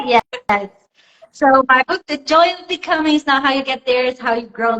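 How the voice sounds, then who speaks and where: A woman talks at a moderate pace with ordinary pitch variation. The sound is dry and close, with no echo. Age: 30s. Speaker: life coach and author. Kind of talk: interview. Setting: live video stream.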